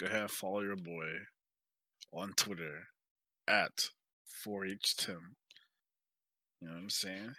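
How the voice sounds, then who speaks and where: Speaking at a fairly slow pace with long, frequent pauses, a man uses a fairly low pitch and an animated, bright, sharp tone. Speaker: podcast co-host. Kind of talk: casual banter about gaming. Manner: joking, animated.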